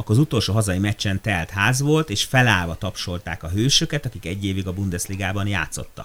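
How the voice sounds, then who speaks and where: Speaking fairly quickly with hardly any pauses, a man uses lively intonation at a fairly low pitch on a very clean recording with a silent background. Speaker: podcast host. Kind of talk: casual interview.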